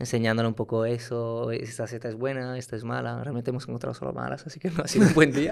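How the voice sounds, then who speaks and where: A man's medium-pitched, very fast speech with fairly even intonation and hardly any pauses. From Italy (Turin). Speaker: startup founder and CEO. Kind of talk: casual interview. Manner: halting, many repetitions and fillers.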